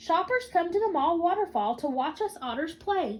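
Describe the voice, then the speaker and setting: A woman puts on a character voice with extremely high pitch. Her pitch swings very wide at a moderate pace. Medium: read story. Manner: cheerful, friendly.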